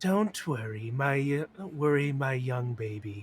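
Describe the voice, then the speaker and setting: Here a man puts on a character voice. His pitch is medium, and he speaks at a fairly slow pace. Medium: actual play. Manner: creepily tender.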